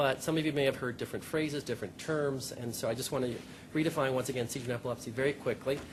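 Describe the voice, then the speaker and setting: With noticeable background noise behind him, a man talks at a very fast pace, at medium pitch and with fairly even intonation. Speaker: pediatric epileptologist. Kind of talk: conference talk. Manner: soft-spoken.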